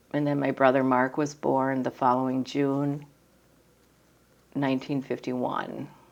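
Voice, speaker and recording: A woman speaks in a monotone, flat intonation with a very deep, low pitch, at a fairly slow pace with long, frequent pauses. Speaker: family member interviewed about her parents. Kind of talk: oral history interview.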